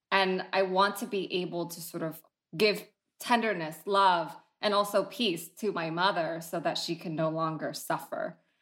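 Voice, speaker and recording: On a very clean recording with a silent background, a woman at medium pitch, with ordinary pitch variation and a moderate pace. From San Jose, California (Vietnamese-American, moved from Vietnam at nine). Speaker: family therapist. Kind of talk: interview.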